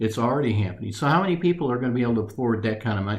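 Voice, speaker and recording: A man's voice carries audible room echo. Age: 60s. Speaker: retiree interviewee. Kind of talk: interview. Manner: halting.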